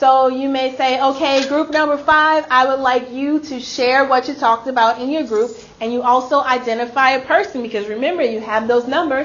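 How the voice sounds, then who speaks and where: Amid noticeable background noise, a woman speaks in a high pitch with fairly even intonation. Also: moderate pace. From Louisiana. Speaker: instructional coach leading teacher training. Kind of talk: professional development workshop.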